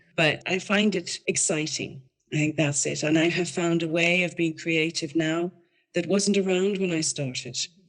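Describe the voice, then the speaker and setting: Speaking at a moderate pace, a woman with an unremarkable speaking voice shows ordinary pitch variation at a fairly low pitch. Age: 60s. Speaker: retiree online designer, guest. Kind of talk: podcast interview chat.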